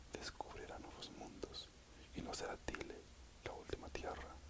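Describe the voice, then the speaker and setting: A man whispering at a fairly slow pace with noticeable background noise. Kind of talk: ASMR audiobook reading. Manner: whispered.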